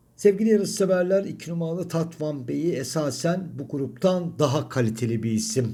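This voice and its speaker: A man speaks at a moderate pace with hardly any pauses, his fairly high voice carrying a dark, mellow tone. Audible room echo surrounds the recording. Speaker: horse racing tipster. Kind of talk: racing analysis monologue. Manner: strained.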